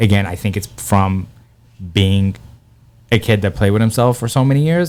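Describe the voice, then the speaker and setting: Speaking with a Persian accent, a man keeps a moderate pace and a fairly low pitch with ordinary variation. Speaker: comedian. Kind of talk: casual chat. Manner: animated.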